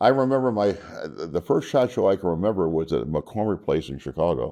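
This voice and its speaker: A man speaks at a fairly quick pace in a very deep, low voice with vocal fry and a dark, mellow tone. His pitch swings very widely, and the background is quiet. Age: 70s. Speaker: firearms trainer and deputy sheriff. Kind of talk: casual interview. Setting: trade show. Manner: halting, many fillers.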